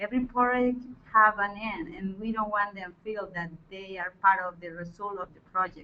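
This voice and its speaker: A woman with a Spanish accent, medium in pitch and bright and sharp in tone, at a moderate pace with fairly even intonation. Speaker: forestry project leader. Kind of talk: webinar panel discussion. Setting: online webinar.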